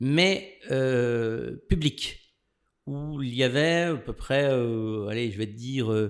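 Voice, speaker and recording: A man speaks in a very clean recording with a completely silent background. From France, Lorraine (Longwy, Nancy). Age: 60s. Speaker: lawyer. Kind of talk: podcast interview, life story.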